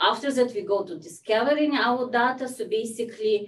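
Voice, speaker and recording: A woman is speaking. Her accent is non-native. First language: not English. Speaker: health data researcher. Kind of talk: lecture. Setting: video call. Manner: halting.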